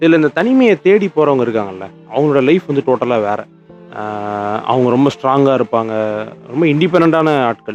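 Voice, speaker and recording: Over music in the background, a man with a fairly high pitch speaks in a calm tone with lively intonation. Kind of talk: sleep podcast talk. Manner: calm, unscripted conversational.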